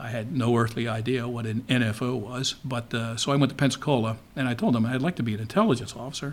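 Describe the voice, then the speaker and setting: On a very clean recording with a silent background, a man speaks at a very fast pace. His pitch is medium and his intonation fairly even. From Baltimore, Maryland (Dundalk). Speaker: retired naval intelligence officer. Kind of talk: interview.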